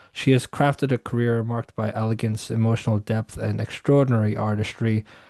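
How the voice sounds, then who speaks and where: Against a quiet background, a man with a dark, mellow tone at medium pitch moves at a fairly quick pace with monotone, flat intonation, in a dry, close sound with no echo. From Canada. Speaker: talk show host. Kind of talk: scripted introduction; interview. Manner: halting, many fillers.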